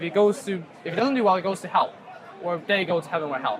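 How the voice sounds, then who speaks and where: A man talks at a very fast pace in a high pitch. Audible room echo and crowd noise fill the background. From China. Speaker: student. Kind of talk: debate. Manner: hesitant.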